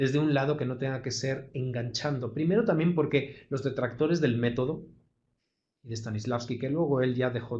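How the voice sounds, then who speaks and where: A man with a Castilian accent, somewhat breathy, at a moderate pace with fairly even intonation. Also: medium pitch for a man. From Madrid, Spain. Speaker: actor and acting teacher. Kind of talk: online lecture.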